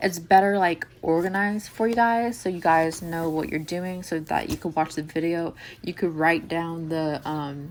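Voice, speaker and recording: Fairly low in pitch, a woman with an ordinary speaking voice talks at a moderate pace with ordinary pitch variation and hardly any pauses. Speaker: cooking channel host. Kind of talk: tutorial voice-over. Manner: casual, filler-heavy.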